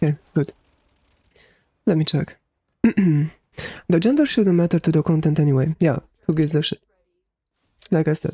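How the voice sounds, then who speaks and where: Spoken at a fairly quick pace in a Romanian accent, the speech is broken by long, frequent pauses. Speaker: gaming streamer. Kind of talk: casual live stream chat.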